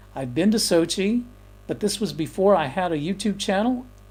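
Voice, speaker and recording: Lively intonation and a dark, mellow tone carry a man's speech at a moderate pace. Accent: Texan. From Texas. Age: 60s. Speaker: YouTuber and photographer. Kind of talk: casual livestream chat reading viewer comments. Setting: home livestream. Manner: halting, many fillers and repeats.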